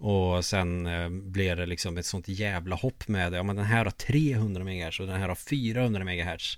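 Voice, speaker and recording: A man talks at a fairly slow pace, hardly pausing at all. His pitch is very deep and low, with ordinary variation. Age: 30s. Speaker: podcast co-host, gamer. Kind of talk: casual chat.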